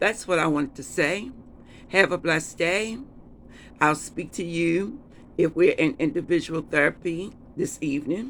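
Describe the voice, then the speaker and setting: The speaker talks at a moderate pace, broken by long, frequent pauses. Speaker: therapist. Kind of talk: lecture.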